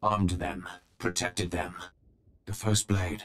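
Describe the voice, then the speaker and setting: A man does a put-on character voice with a very deep, low pitch. He speaks at a fairly slow pace in a monotone, flat intonation. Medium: video game. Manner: terse, clipped, halting phrases; solemn, commanding.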